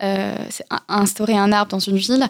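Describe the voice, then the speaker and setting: A woman speaks at a medium pitch, and the sound is dry and close with no echo. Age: 20s. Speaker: entrepreneur. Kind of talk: radio interview. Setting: radio studio.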